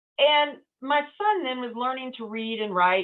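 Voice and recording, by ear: Her pitch swings very widely. The woman speaks with a South Texas accent.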